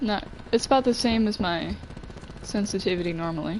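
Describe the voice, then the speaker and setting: Over noticeable background noise, a woman speaks at a moderate pace in an animated tone with lively intonation. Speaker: video game streamer. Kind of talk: live gameplay streaming. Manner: loud; casual, animated.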